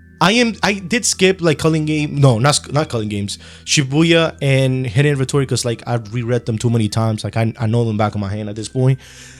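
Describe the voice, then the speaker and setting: A man with a Spanish accent, lively intonation and a fairly quick pace with hardly any pauses. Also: medium pitch for a man. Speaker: anime YouTuber. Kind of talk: unscripted video commentary. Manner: casual, rambling with fillers.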